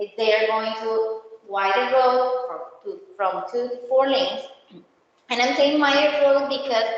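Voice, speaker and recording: With audible room echo, a woman speaks at a high pitch in a non-native accent. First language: not English. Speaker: county road project presenter. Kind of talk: community meeting presentation. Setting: HOA meeting room. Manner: halting.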